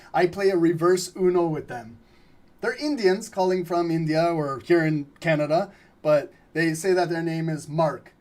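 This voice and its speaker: At a moderate pace, a man with a high pitch talks in an animated tone with ordinary pitch variation. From Albanian background. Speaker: trading livestream host. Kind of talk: live trading analysis stream. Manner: casual, animated.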